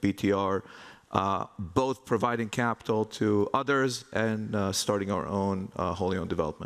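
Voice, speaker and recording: In a very clean recording with a silent background, a man with an Israeli accent speaks at a fairly low pitch. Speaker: real estate investment executive. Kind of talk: conference panel talk.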